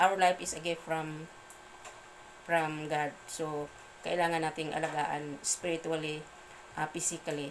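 A woman's very deep, low voice with fairly even intonation over noticeable background noise. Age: 50s. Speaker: vlogger and product seller. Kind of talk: product review vlog. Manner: halting.

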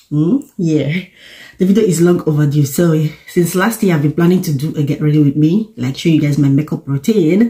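Against a quiet background, a woman with a very deep, low pitch speaks at a moderate pace in a dark, mellow, somewhat breathy tone with ordinary pitch variation. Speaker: vlogger. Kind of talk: casual vlog chat. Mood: cheerful, chatty. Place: home room. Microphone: phone near.

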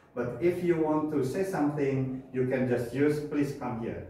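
A man talks with ordinary pitch variation amid strong room echo and light background noise. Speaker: lecturer. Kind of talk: lecture. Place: classroom. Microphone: camera far.

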